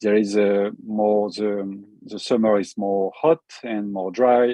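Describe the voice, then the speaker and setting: Music plays in the background as a man speaks with a French accent. His pitch is fairly low and his intonation fairly even. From France. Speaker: forest fire expert. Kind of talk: webinar presentation. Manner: halting, many fillers and repetitions.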